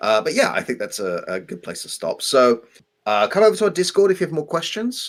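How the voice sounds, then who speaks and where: This is a man with an English accent. He talks at a very fast pace. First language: French. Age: 40s. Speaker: co-host of game development live stream, English teacher. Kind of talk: casual live stream chat. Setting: live stream.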